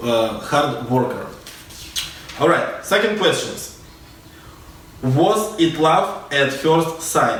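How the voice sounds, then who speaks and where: Fairly high-pitched man with a Russian accent, very slow with long, frequent pauses, amid audible room echo and noticeable background noise. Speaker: dance teacher. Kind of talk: casual storytelling vlog. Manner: halting.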